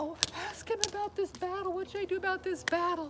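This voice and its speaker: A woman's squeaky, put-on character voice at a very fast pace, with clear background noise. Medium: read story. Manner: nervous, stammering.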